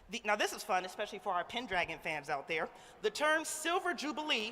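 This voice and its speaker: A woman, loud and animated in tone. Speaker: awards show host. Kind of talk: awards ceremony hosting. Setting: stage with live audience in ballroom.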